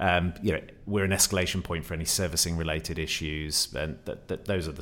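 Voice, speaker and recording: With a very deep, low pitch and fairly even intonation, a man speaks at a fairly quick pace. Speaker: insurance executive, guest co-host. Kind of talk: casual interview chat. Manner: hesitant, many fillers.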